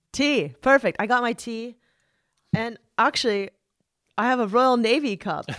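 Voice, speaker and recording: With an American accent, a woman speaks at a moderate pace and a fairly high pitch, with ordinary pitch variation and long, frequent pauses. The recording is very clean, with a silent background. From US West Coast, San Diego area. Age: 40s. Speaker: journalist and podcast host. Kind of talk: casual chat.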